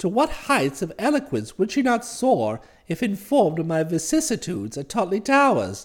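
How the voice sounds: A man's put-on character voice, high in pitch with very wide swings, at a moderate pace.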